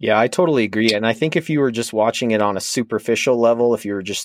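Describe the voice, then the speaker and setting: Medium-pitched male voice, a normal speaking voice, with usual rise and fall in pitch. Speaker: podcast host, fantasy analyst. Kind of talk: casual chat.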